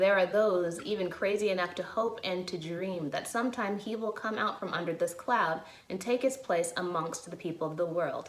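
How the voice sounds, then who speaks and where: With an American accent and hardly any pauses, a woman speaks at a moderate pace in a medium pitch with ordinary pitch variation, against noticeable background noise. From Chicago area, USA. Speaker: actor. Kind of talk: dramatic reading of a historic courtroom closing argument.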